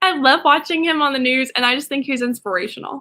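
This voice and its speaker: In an American accent, a woman speaks in a raised, projected voice with a bright, sharp tone, high pitch and fairly quick pace. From Ohio, Columbus. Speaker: TV news anchor. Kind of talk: interview.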